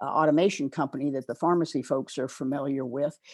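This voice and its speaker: In a Pacific Northwest accent, a woman speaks at a very deep, low pitch with fairly even intonation in a quiet background. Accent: General American, Pacific Northwest. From US, northeastern Oregon. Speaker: retired pharmacy director and professor. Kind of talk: interview conversation.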